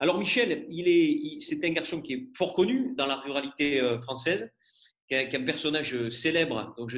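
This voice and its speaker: With lively intonation, the speech keeps a moderate pace. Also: man. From rural France. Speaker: event moderator. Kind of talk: introduction speech. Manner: hesitant, many fillers.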